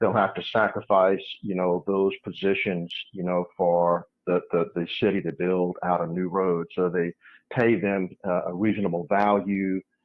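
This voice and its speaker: A man speaks fairly slowly in a very deep, low voice with monotone, flat intonation. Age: 60s. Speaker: geologist and geophysicist. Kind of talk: interview.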